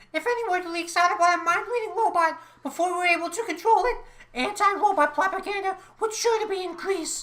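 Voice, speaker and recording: Using a put-on character voice, a woman squeaks out her lines at an extremely high pitch and a very fast pace. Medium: audio drama.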